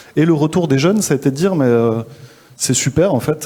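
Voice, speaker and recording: Speaking at a moderate pace, a man with a Toulouse accent shows ordinary pitch variation. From southwestern France, Toulouse. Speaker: social entrepreneur, school founder. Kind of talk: interview at a live forum. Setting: live event. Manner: hesitant, many fillers.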